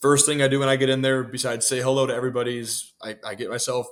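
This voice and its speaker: Here a man has an ordinary speaking voice at medium pitch. He moves at a fairly quick pace. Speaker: public address announcer for a baseball team. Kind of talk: interview answer. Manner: relaxed, conversational.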